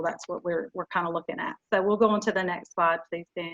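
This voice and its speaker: A woman with a Southern US accent speaks with fairly even intonation. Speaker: youth development educator. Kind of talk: webinar presentation. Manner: halting, many fillers.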